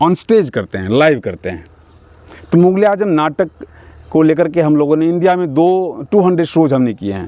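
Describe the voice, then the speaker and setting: A man talks with a Bihar accent at a fairly high pitch. His tone is dark and mellow. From Mithila region, Bihar, India. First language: Maithili (speaking Hindi). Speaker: stage and film actor. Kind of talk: interview.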